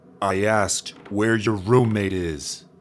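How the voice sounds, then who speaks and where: A man puts on a character voice at a fairly low pitch. He goes at a fairly slow pace with fairly even intonation. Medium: audio drama. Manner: brusque, demanding.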